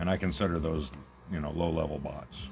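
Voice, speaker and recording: A man speaks quietly at a fairly quick pace in a very deep, low voice with fairly even intonation, over noticeable background noise and audible room echo. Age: old. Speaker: gaming YouTuber. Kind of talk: casual gameplay commentary. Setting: at home, recording on tablet. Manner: quiet, talking low. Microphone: tablet's small built-in mic.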